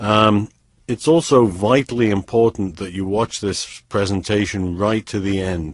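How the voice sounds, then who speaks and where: Against a quiet background, a man with a slight British accent talks fairly slowly at a fairly low pitch with ordinary pitch variation, the sound dry and close with no echo. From US, San Francisco. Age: 30s. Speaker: online trading promoter. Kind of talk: sales pitch. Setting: webinar.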